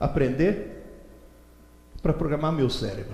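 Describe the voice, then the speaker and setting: A man is speaking. Room echo can be heard. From Italy. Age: 70s. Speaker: educator and lecturer. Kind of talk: lecture. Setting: stage with audience. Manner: animated.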